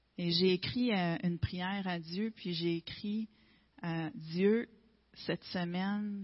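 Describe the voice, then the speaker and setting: Somewhat breathy and very slow, a woman with a Quebec accent speaks at a medium pitch with fairly even intonation. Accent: Québécois French. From Quebec, Gaspésie. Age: 40s. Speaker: testimony speaker. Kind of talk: testimony. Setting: church.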